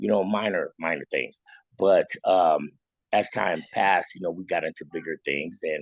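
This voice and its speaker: The sound is dry and close with no echo as a man with an American accent speaks at a moderate pace. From US South, Louisiana. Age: 50s. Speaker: electrician. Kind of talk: interview conversation. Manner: halting, many fillers and repeats.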